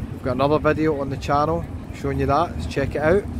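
The recording has a dry sound with no echo, though noticeable background noise comes through. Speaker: walking tour vlogger. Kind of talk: casual tour commentary. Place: street. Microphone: phone near.

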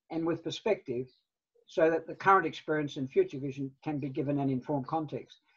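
Talking at a fairly quick pace with fairly even intonation, a man with a New Zealand accent is heard against a quiet background. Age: 70s. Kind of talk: presentation. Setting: video call. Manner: halting. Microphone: video call.

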